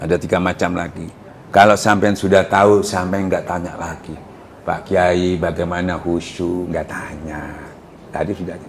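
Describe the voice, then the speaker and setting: A man talks at a moderate pace in a very deep, low pitch with monotone, flat intonation. Audible room echo and noticeable background noise fill the recording. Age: 70s. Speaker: Islamic preacher. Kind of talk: religious lecture. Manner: conversational, asks audience questions.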